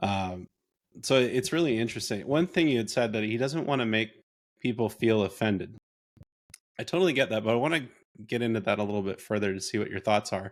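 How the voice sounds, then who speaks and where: A man with a plain, everyday voice talks at a fairly quick pace with medium pitch and lively intonation, on a very clean recording with a silent background. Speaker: podcast host. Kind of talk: interview podcast conversation.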